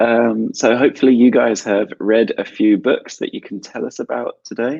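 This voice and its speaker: Speaking at a fairly slow pace, a man talks with a British accent. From South London, England. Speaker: English teacher. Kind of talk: online English class webinar.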